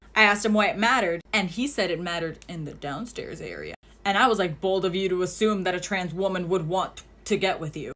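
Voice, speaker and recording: A woman with a medium-pitched voice talks very fast, her pitch varying in an ordinary way over noticeable background noise. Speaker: social media creator. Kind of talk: storytelling monologue. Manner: animated.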